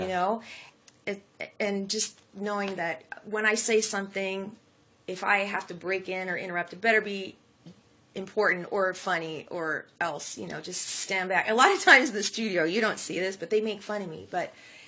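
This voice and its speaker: A woman with an American accent speaks at medium pitch with fairly even intonation and big swings in loudness over noticeable background noise. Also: moderate pace. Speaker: morning radio show sidekick. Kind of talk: interview answer. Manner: humble, friendly, conversational.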